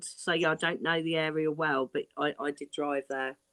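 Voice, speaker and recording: With an Essex accent, a woman speaks at a fairly slow pace and fairly low pitch. The sound is dry and close with no echo, over a quiet background. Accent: southeast English, like Essex. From southeast England, Kent. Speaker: live stream guest. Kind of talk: casual chat.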